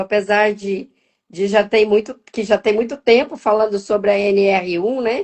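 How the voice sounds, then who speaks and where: A woman talks at a fairly slow pace. Hers is an unremarkable speaking voice with a fairly high pitch. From Minas Gerais, Brazil. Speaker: wellbeing mentor and financial educator. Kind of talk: casual live-stream chat.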